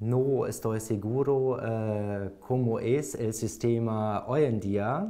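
Speaking at a very slow pace with hardly any pauses, a man with a German accent keeps his intonation fairly even. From Germany, Hamburg; Germany. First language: German (speaking Spanish). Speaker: language exam candidate; candidate. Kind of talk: oral language exam. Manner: halting, many fillers. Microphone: lapel.

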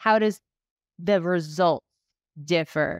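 Recorded dry with no echo against a quiet background, a woman speaks at a very slow pace. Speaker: ADHD coach podcast host; podcast host. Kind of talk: casual interview. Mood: reflective, emotional. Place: home room. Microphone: studio mic.

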